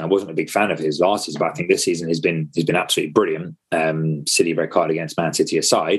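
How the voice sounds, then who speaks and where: A London accent marks the speech. It belongs to a man. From England, North London. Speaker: football fan pundit. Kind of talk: casual chat.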